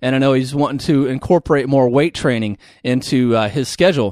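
On a very clean recording with a silent background, a man uses a normal speaking voice at a fairly high pitch and a fairly quick pace. The sound is dry and close, with no echo. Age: 30s. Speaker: certified personal trainer. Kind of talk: casual interview. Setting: studio, sharing one mic.

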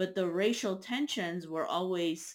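A woman's ordinary speaking voice, fairly low in pitch, with ordinary pitch variation and a fairly slow pace. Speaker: interviewer. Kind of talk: interview.

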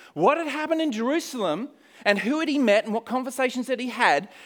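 Delivered at a very fast pace, this voice has lively intonation and an Australian accent. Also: man. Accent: Australian, noticeable. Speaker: missionary. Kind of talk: sermon. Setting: church.

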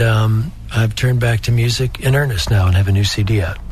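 Here is a man with a normal speaking voice, talking at a moderate pace with ordinary pitch variation. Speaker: singer-songwriter. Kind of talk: interview chat.

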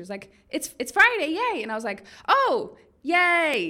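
This woman speaks with an Australian accent. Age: 20s. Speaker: video blogger. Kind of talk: casual vlog monologue. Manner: animated.

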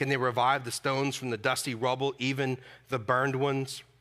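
A man talks loudly. His tone is bright and sharp. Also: very clean recording, silent background. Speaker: pastor. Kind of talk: sermon. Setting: church. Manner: animated.

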